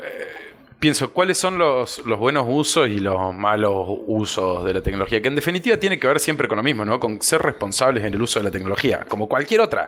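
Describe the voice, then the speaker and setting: Over noticeable background noise, a man at medium pitch speaks at a fairly quick pace with very wide pitch swings. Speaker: policy analyst. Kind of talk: podcast guest conversation.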